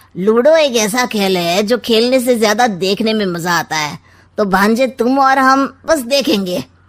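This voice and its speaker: In a cartoonish character voice, a woman at a fairly high pitch uses lively intonation at a moderate pace with hardly any pauses. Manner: sly, teasing, rhyming quips.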